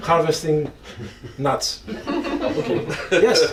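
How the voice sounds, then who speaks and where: A man with a Greek accent and a high pitch, with noticeable background noise and audible room echo. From Greece. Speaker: panelist. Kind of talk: panel discussion.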